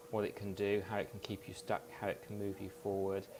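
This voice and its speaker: In a British accent, a man speaks at a fairly low pitch with monotone, flat intonation. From UK. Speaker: hypnotherapist. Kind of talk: interview.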